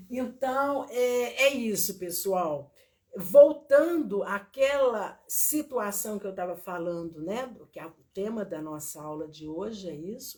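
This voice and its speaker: A woman speaks at a very slow pace and medium pitch. She has a strong Minas Gerais accent. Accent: strong Minas Gerais (mineiro). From Minas Gerais, Brazil (small town near Viçosa). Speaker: teacher and therapist. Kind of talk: online lecture with live chat. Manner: slow, drawn-out.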